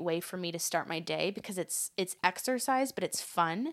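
In a very clean recording with a silent background, a woman with an unremarkable speaking voice talks at a moderate pace and a medium pitch with ordinary pitch variation. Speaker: empathic energy and leadership consultant. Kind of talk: casual interview.

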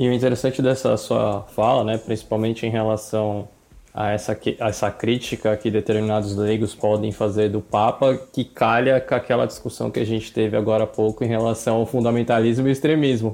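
Dark and mellow, a man's voice sits at a medium pitch. He speaks at a fairly quick pace with monotone, flat intonation. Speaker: podcast co-host. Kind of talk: interview.

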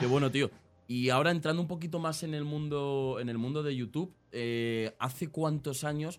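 Here is a man with a plain, everyday voice at a fairly high pitch. He keeps a moderate pace and fairly even intonation. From Spain, Aranjuez (south Madrid). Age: 20s. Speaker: podcast and stream host. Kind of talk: casual interview.

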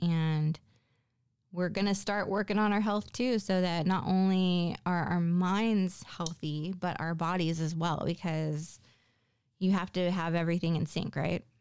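A woman with a normal speaking voice talks at a fairly slow pace, her pitch fairly low and its variation ordinary. The recording is very clean, with a silent background. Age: 40s. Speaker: solo podcast host. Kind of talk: solo monologue podcast. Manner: casual with frequent fillers.

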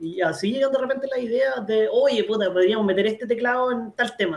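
At a moderate pace, a man's pitch shifts in an ordinary way as he speaks. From Chile, Molina. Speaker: keyboard player. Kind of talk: casual chat.

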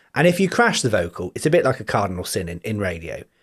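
Very wide pitch swings and vocal fry at a fairly quick pace, on a very clean recording with a silent background. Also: man. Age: 40s. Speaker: podcast host. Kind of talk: casual chat. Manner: animated.

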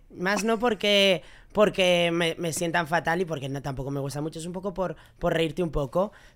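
Recorded very cleanly against a silent background, a woman has an ordinary speaking voice, fairly low pitched, with ordinary pitch variation at a moderate pace. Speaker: podcast guest, regular contributor. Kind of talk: casual chat.

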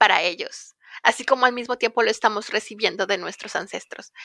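A woman talks with fairly even intonation in a bright, sharp tone. The sound is dry and close, with no echo. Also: very clean recording, silent background. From Mexico, Ciudad del Carmen, Campeche. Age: young. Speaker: climate advocacy director. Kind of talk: interview. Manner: passionate.

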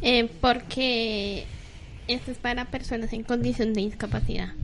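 A woman's fairly high voice with vocal fry, fairly slow and broken by long, frequent pauses, in a room with audible echo. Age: 30s. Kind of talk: live radio chat.

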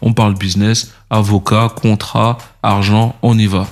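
A man talks in an unremarkable speaking voice, fairly low in pitch and with fairly even intonation. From France, Paris region (Les Mureaux). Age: 40s. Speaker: music entrepreneur. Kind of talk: interview conversation.

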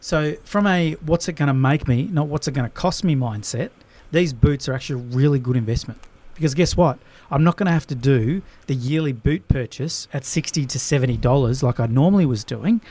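Talking at a fairly quick pace with an Australian accent, a man uses a somewhat breathy, fairly high-pitched voice with a dark, mellow tone. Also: ordinary pitch variation. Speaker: business coach and podcast host. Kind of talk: casual chat. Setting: studio.

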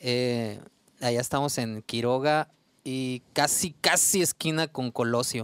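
In a very clean recording with a silent background and a dry, close sound with no echo, a man of medium pitch speaks at a very slow pace. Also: ordinary pitch variation. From Mexico, Sonora (Ures). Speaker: musician. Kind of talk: casual chat.

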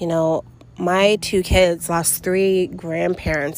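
A woman speaks at a very slow pace. Noticeable background noise sits behind her voice. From New York City. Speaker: podcast host. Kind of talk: personal monologue. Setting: outdoors.

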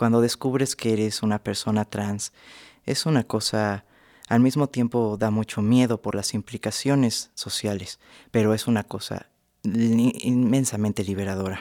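A man with an unremarkable speaking voice and medium pitch speaks at a fairly slow pace with fairly even intonation, recorded very cleanly over a silent background. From Mexico City. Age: 20s. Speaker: cartoonist. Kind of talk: radio interview. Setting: studio.

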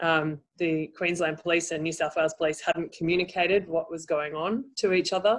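A woman with an Australian accent talks at a fairly quick pace with hardly any pauses, a fairly low pitch and fairly even intonation. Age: 40s. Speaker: life coach and NLP trainer. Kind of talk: interview.

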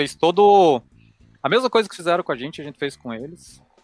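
With music in the background, the voice shows ordinary pitch variation and a dry, close sound with no echo. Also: man. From Brazil, Curitiba. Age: 30s. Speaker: cloud support engineer. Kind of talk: interview.

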